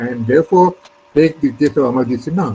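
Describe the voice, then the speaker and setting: Against noticeable background noise, a man with a Pakistani accent and a fairly high voice speaks at a moderate pace with lively intonation. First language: Urdu. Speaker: retired civil servant. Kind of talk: interview. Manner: hesitant, many fillers.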